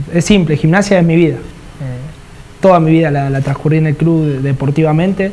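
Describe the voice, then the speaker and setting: A man with fairly even intonation over light background noise. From Argentina, Ensenada. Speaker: professional footballer, goalkeeper. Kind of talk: casual interview. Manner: halting, many repetitions. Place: studio. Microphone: lapel.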